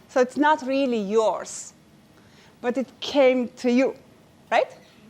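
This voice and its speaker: A high-pitched woman with a Romanian accent speaks at a very slow pace with fairly even intonation. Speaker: inspirational speaker. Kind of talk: inspirational speech. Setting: stage with audience. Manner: halting.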